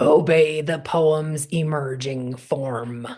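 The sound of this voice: In a gruff, put-on character voice at a middle pitch, the speaker talks at a very slow pace.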